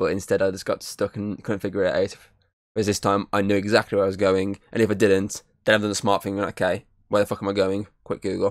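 A man at a fairly low pitch and a very fast pace, with a dry sound, no echo and a quiet background. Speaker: podcast host. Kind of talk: casual game review chat. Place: home room. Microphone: studio mic.

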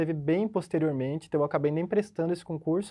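Ordinary pitch variation from a man against a quiet background. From southern Brazil, Curitiba, Paraná; Paraná, Brazil. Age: 30s. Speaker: police chief, recently passed exam; interviewee, candidate. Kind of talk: interview. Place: studio. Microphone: lapel.

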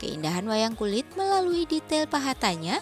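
The pitch swings very widely. Music plays in the background. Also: woman. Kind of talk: news feature narration.

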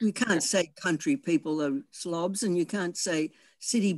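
At a fairly slow pace, the speaker talks with an Australian accent against a quiet background. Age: 70s. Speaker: audience member in film discussion. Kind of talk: casual group discussion. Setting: video call. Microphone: video call.

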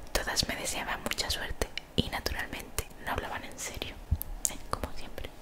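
The speech moves at a moderate pace. Loud background noise runs underneath it. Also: woman. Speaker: streamer reading a book aloud. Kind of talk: reading a novel aloud with casual asides. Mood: playful, joking asides. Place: home room. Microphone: studio mic.

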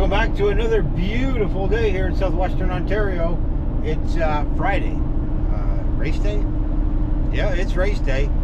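A man's speech comes at a moderate pace through loud background noise. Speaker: racing vlogger. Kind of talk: casual vlog chat. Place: car. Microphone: phone near.

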